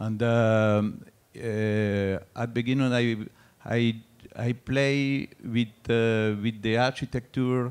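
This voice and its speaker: A man at medium pitch talks at a very slow pace. His intonation is monotone and flat, his loudness very even. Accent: French. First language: French. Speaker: artist. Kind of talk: artist talk. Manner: halting, many fillers.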